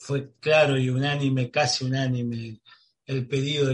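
A man at a medium pitch speaks somewhat breathily, his intonation monotone and flat. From Buenos Aires, Argentina. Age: 50s. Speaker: radio host. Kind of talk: radio interview.

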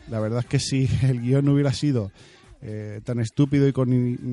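A man talks at a moderate pace and medium pitch, with ordinary pitch variation. Music plays in the background of a dry, close recording with no echo. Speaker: podcast host. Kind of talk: casual monologue. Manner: hesitant fillers.

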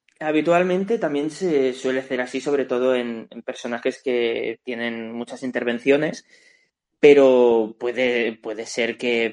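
This man keeps a fairly slow pace. His intonation is fairly even. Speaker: voice actor. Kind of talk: casual chat.

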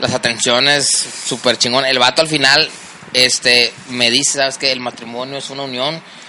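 Against noticeable background noise, a man speaks at a moderate pace and medium pitch in a monotone, flat delivery. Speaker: amateur baseball player. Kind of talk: casual chat. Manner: stutter when nervous.

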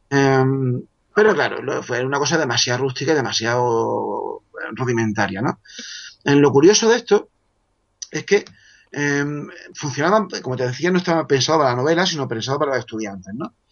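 Lively intonation marks a man's fairly high voice at a fairly quick pace. He leaves long, frequent pauses. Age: 40s. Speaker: author. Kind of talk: casual chat.

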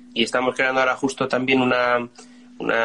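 Fairly quick speech from a man against noticeable background noise. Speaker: band musician. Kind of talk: casual interview.

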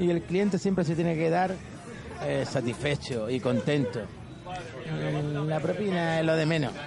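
Amid crowd noise in the background and audible room echo, a man with a fairly high pitch speaks at a fairly slow pace with long, frequent pauses. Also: ordinary pitch variation, very even loudness. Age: 50s. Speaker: taxi driver. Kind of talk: casual chat.

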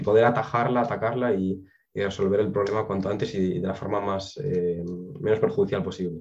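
This man has an unremarkable speaking voice, fairly low in pitch, with ordinary pitch variation and a fairly quick pace. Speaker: biotechnology graduate. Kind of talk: interview.

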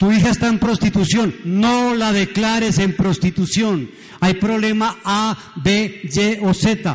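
A man talks at a very slow pace with a high pitch. His loudness is very even and his pitch varies in an ordinary way. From Colombia, Pereira. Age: 70s. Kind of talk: sermon.

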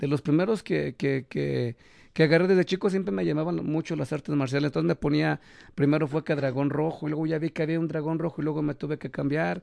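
Speaking at a very fast pace, a man with a fairly high pitch and ordinary pitch variation is heard in a dry, close sound with no echo against a quiet background. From Mexico, León, Guanajuato. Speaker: professional wrestler. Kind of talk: casual interview. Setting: studio, streamed live.

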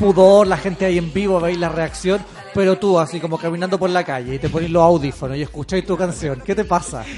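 Over noticeable background noise, a man with a Chilean accent talks very fast at a high pitch, keeping his intonation fairly even. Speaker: podcast co-host. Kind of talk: casual chat. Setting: studio.

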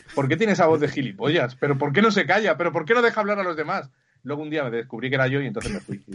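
Lively intonation runs through this man's speech. He talks at a very fast pace. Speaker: podcast co-host. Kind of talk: casual chat.

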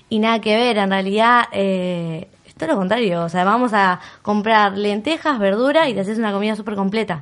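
A woman with a normal speaking voice talks at medium pitch and a moderate pace, with ordinary pitch variation over a quiet background. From Argentina, Bariloche. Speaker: vegan content creator. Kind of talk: casual chat.

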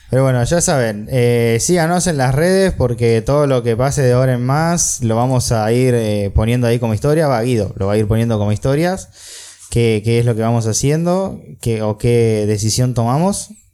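A man with a Rioplatense accent speaks at a moderate pace and medium pitch, with ordinary pitch variation, very even loudness and noticeable background noise. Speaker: podcast host. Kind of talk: interview. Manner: halting.

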